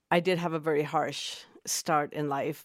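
In a Spanish accent, a woman speaks with a very deep, low pitch and monotone, flat intonation on a very clean recording with a silent background. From Mexico City, Mexico. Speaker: medicine woman and teacher. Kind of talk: interview conversation.

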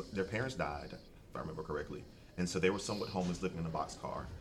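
Talking at a very fast pace in an American accent, a man with a very deep, low pitch shows ordinary pitch variation. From South Carolina. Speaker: fraternity executive. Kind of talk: casual panel discussion.

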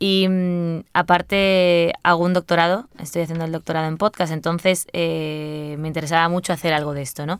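Very clean, with a silent background, the recording features a woman with a fairly low pitch. She talks at a moderate pace with monotone, flat intonation. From Spain, Seville. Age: 20s. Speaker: journalist and podcaster. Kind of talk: interview conversation.

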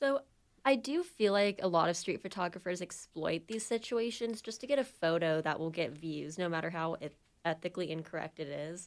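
Here is a woman with a plain, everyday voice, pitched fairly low. She speaks at a fairly quick pace with lively intonation. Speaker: journalism student, student podcast host. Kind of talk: casual chat.

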